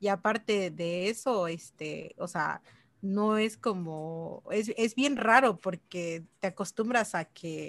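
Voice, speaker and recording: The background is quiet. A woman talks at a very slow pace. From Mexico, Chiapas. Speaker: mobile developer and online course instructor. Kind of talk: casual interview.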